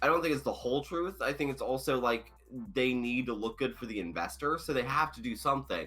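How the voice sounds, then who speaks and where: A man speaks at a very fast pace with a bright, sharp tone. His intonation is lively, with vocal fry. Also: medium pitch for a man. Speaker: podcast co-host. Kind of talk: casual chat.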